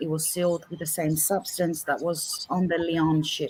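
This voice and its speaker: Here a woman speaks in an Australian accent with a fairly low pitch. Her pace is moderate. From Australia, Greek family. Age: 50s. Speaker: paranormal researcher. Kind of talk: interview. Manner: halting.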